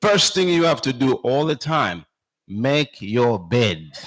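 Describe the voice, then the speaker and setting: With a Zambian accent, a man speaks at a moderate pace, his fairly high pitch carried by lively intonation. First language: a Zambian language. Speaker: speaker at church camp meeting. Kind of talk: talk to children at camp meeting.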